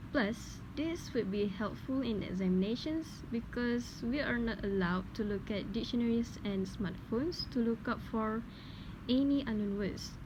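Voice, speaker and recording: Speaking at a moderate pace with a Malaysian accent, a woman with a fairly high pitch keeps her loudness very even and her pitch variation ordinary. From Malaysia, Perak. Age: young. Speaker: linguistics student. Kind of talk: scripted dialogue for class assignment.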